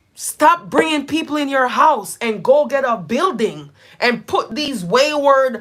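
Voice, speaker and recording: A woman speaks loudly at a high pitch. Her pace is fairly slow and her intonation lively. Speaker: live streamer and nonprofit founder. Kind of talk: casual chat. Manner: animated.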